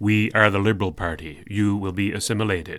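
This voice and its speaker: A man uses a put-on character voice pitched fairly low. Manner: robotic, monotone, collective.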